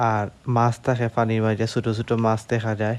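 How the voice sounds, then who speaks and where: Medium-pitched male speech set against a quiet background. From Bangladesh, Sylhet (Beanibazar). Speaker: vlogger. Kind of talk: vlog narration.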